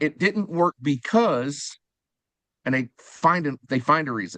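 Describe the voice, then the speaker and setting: A man talks in an ordinary speaking voice set fairly high, with pitch that varies normally. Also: dry, close sound with no echo, quiet background. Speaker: fundraising auctioneer and sponsorship specialist. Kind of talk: podcast interview answer.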